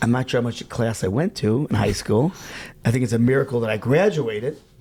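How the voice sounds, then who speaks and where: Somewhat breathy, a man talks at a fairly quick pace with a slight Chicago accent. His tone is dark and mellow. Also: medium pitch for a man, ordinary pitch variation. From US Midwest, Chicago. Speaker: rabbi, outreach worker. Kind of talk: casual interview.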